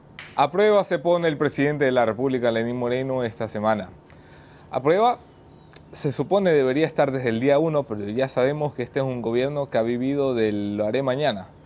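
A man talks fairly quickly, his pitch varying in an ordinary way. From not from Guayaquil. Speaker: journalist and show host; news show host. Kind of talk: news monologue; interview. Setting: studio in Guayaquil.

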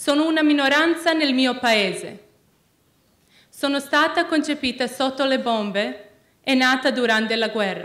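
Against a quiet background, a woman with a non-native accent and a high pitch talks at a fairly slow pace with ordinary pitch variation and long, frequent pauses. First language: not Italian (speaking Italian). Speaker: student peace activist; speaker. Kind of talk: prepared speech. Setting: stage with audience. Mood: earnest, solemn. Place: hall. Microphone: podium.

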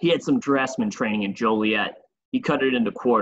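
The clip has a natural reading voice. Behind it, the background stays quiet.

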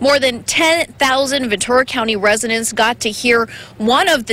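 A high-pitched woman at a moderate pace with ordinary pitch variation, over noticeable background noise. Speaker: TV reporter. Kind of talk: live field report. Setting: outdoors.

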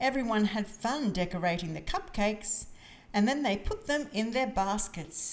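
The delivery is a natural reading voice with lively intonation.

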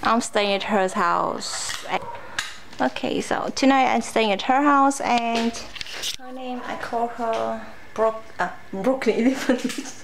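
Against noticeable background noise, a woman with a fairly high voice talks at a very slow pace with long, frequent pauses and fairly even intonation. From Vietnam and Germany (third culture kid). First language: Vietnamese. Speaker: vlogger. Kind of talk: casual chat. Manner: halting. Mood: playful. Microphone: phone near.

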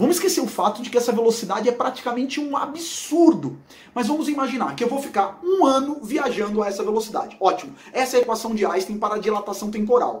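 A man speaks at an extremely high pitch in an animated tone with lively intonation. His pace is very fast, with hardly any pauses. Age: 40s. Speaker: physics educator. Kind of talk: educational video explainer.

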